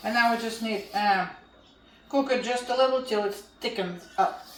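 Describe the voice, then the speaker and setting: Noticeable background noise and audible room echo surround the recording. A woman speaks at a fairly high pitch. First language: Russian. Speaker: home cooking channel host. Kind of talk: cooking tutorial.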